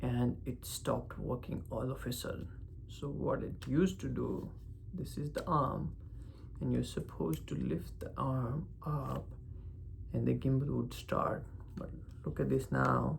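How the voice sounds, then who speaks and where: A man with a non-native accent at a fairly slow pace, with long, frequent pauses and audible room echo. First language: not English. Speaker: vlogger. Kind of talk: casual vlog monologue. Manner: emphasis on certain syllables; halting, searching for words.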